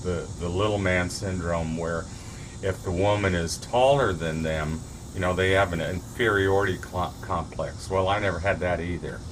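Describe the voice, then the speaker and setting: A man's very deep, low voice at a moderate pace with ordinary pitch variation, amid noticeable background noise and audible room echo. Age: 60s. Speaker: vlogger giving relationship advice. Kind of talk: casual monologue to camera. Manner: halting, many fillers and restarts.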